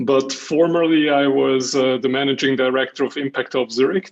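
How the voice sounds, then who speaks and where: With a Hungarian accent, a man talks fairly slowly at a fairly high pitch with ordinary pitch variation. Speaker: jury member, business executive. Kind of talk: self-introduction at online event.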